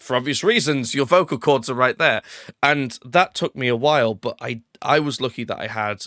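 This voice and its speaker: A man speaks at a moderate pace and a medium pitch in a bright, sharp tone with ordinary pitch variation, the recording very clean with a silent background and a dry, close sound with no echo. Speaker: podcast host. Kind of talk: casual chat.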